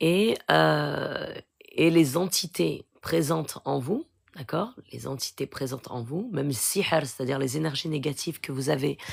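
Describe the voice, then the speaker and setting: Lively intonation at a fairly slow pace. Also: woman, very deep, low pitch for a woman. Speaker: spiritual healer. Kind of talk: live Q&A stream. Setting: live stream. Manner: soft-spoken.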